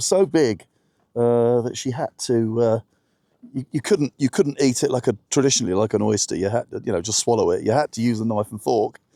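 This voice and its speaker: A man's voice sits at a medium pitch with a dark, mellow tone and ordinary pitch variation. The recording is very clean, with a silent background and a dry, close sound with no echo. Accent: southern English. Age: 60s. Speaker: vlogger sailing a small boat. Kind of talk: casual vlog narration. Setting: outdoors on a boat. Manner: hesitant, many fillers.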